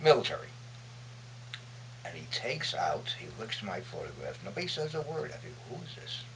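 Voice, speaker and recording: A man with an American accent at a moderate pace, with long, frequent pauses, big swings in loudness and noticeable background noise. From Brooklyn, New York. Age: 80s+. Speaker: war veteran, photojournalist. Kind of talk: interview answer.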